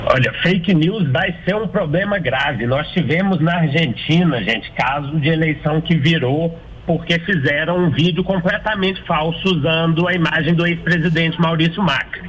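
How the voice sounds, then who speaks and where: A man with a Minas Gerais accent speaks at a moderate pace in a high voice, with ordinary pitch variation, very even loudness and hardly any pauses. Noticeable background noise can be heard. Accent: mineiro. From Minas Gerais, Brazil (Belo Horizonte). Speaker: political marketing consultant and author. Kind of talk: radio interview.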